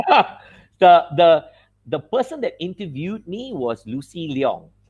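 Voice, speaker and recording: This man's voice is high-pitched and fairly slow. Both his loudness and his pitch swing widely, the pitch very much so. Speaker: veteran radio DJ and announcer. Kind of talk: casual interview answers, reminiscing about his radio career.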